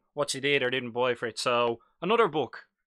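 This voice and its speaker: Talking at a very fast pace with an Irish accent, a man has a bright, sharp tone, captured in a very clean recording with a silent background and a dry, close sound with no echo. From Ireland, Dublin. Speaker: live-stream hobby host. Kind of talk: live stream chat about miniature wargaming. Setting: live stream in front of a green screen. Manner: casual, chatty.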